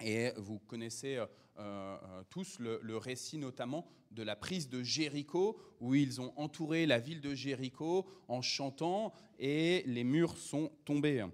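The man's delivery is very slow. Behind him, things stay quiet. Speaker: preacher. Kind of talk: sermon. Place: church.

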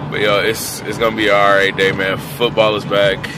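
Over loud background noise, a man speaks at a moderate pace in a dry recording with no echo. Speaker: vlogger. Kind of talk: casual vlog chat. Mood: relaxed, a bit under the weather. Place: car. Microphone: phone near.

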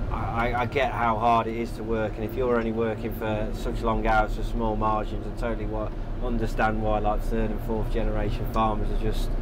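Loud noise fills the background. Over it, a man talks at a moderate pace. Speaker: interviewee driving tractor. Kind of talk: interview answer. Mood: relaxed, friendly. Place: farm machine. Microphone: lapel.

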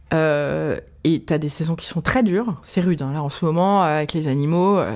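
A woman with a normal speaking voice talks at a fairly slow pace, her fairly low pitch showing ordinary variation. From Paris. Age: 40s. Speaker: restaurant owner. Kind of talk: interview.

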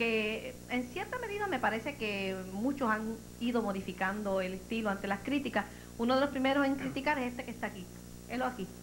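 With noticeable background noise behind her, a woman talks at a fairly quick pace with ordinary pitch variation. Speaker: TV talk show host. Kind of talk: talk show hosting. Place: studio. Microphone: handheld.

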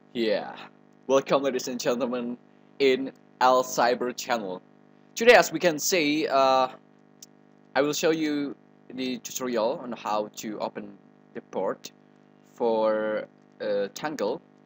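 With an Indonesian accent, a man talks at a fairly slow pace with long, frequent pauses, medium pitch, ordinary pitch variation and big swings in loudness, with music in the background. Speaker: tutorial presenter. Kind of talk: tutorial. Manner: halting, hesitant with fillers.

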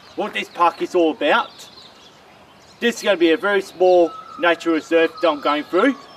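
Dry with no echo and over light background noise, a high-pitched man speaks at a fairly quick pace with ordinary pitch variation. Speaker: walking vlogger. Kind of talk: casual vlog chat. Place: forest. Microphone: camera far.

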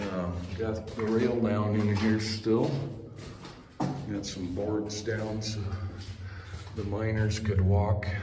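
With noticeable background noise, a man with a fairly low pitch talks at a very slow pace in a fairly even intonation. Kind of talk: casual exploration commentary. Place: tunnel cave. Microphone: phone near.

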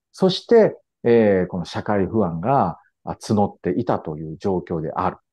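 A man talks at a fairly slow pace with a fairly low pitch and ordinary pitch variation. His volume swings a great deal. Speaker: historian and commentator. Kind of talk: explanatory interview. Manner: frequent fillers and hesitations.

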